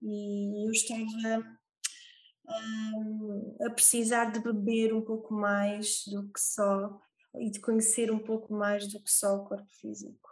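A woman speaks at a very slow pace with a fairly high pitch. Her voice is somewhat breathy, and her intonation is monotone and flat. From Portugal, Algarve (Olhão). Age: 30s. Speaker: yoga teacher. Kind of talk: interview.

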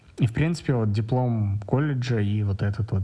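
A man speaks at a moderate pace in a fairly low pitch. His tone is dark and mellow, and somewhat breathy. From Kazakhstan, Astana. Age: 30s. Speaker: software developer. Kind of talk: personal account monologue.

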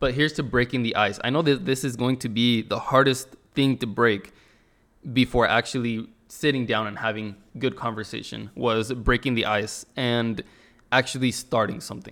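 A man with a normal speaking voice talks at a medium pitch and a moderate pace, keeping his intonation fairly even. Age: 20s. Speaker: podcast host. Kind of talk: solo casual monologue.

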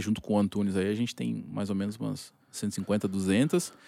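The background is silent on this very clean recording. A man does the talking. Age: 30s. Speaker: football scout and franchise partner. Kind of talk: casual chat. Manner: halting.

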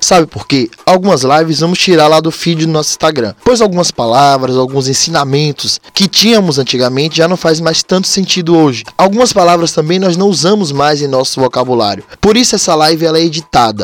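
This man has an unremarkable speaking voice with a fairly high pitch and lively intonation. He talks at a fairly quick pace with hardly any pauses. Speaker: podcast host, umbanda practitioner. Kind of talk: casual religious talk.

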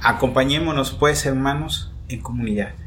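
Audible room echo carries a man's somewhat breathy voice at medium pitch. He talks at a fairly slow pace. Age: 30s. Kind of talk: spiritual reflection.

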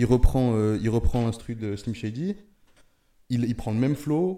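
A man's voice carries a dark, mellow tone and ordinary pitch variation. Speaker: podcast panelist. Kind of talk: casual chat.

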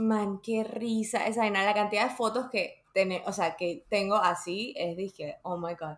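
A woman with a medium pitch speaks at a very slow pace, her pitch varying in an ordinary way. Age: 30s. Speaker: podcast host. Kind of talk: casual chat.

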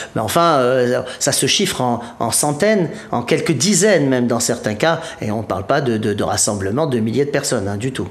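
Through audible room echo and noticeable background noise, a man talks at a moderate pace with lively intonation. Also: medium pitch for a man. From Provence, southern France. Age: 50s. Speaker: Bhutan travel specialist. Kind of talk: interview. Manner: halting.

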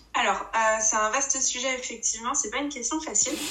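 Audible room echo and noticeable background noise surround a woman whose voice sits fairly high, with ordinary pitch variation. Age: 30s. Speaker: forum role-play game player and administrator. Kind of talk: casual interview. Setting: remote recording. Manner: halting, many repetitions.

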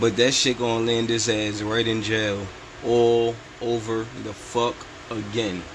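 Recorded with audible room echo and noticeable background noise, a man talks at a fairly slow pace and a medium pitch. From New York City. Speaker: podcast host. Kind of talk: casual commentary. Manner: animated.

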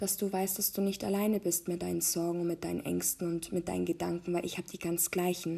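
Dark, mellow tone from a woman, somewhat breathy. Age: 20s. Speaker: podcast host, mother. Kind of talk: personal monologue. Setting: recording at home. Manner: hesitant, many filler sounds.

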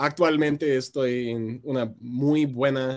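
This man's delivery is very slow. Ordinary pitch variation runs through what he says. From US Midwest, Chicago. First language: English (speaking Spanish). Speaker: musician. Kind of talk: interview. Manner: hesitant, many filler sounds.

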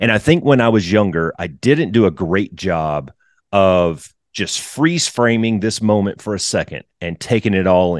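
A man with an American accent speaks in a normal speaking voice, fairly low in pitch with lively intonation. The sound is dry and close with no echo, over a quiet background. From US South. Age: 40s. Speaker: retired fighter pilot and flight instructor. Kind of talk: casual interview.

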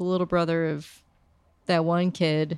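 A woman has a normal speaking voice with a fairly low pitch. She talks at a fairly slow pace with fairly even intonation. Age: 30s. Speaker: podcast co-host. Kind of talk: casual chat.

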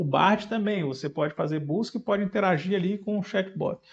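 At a moderate pace, a man speaks in a high pitch. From Brazil, Fortaleza (Ceará). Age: 40s. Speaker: software architect and tech entrepreneur. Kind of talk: podcast interview. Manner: hesitant, many fillers.

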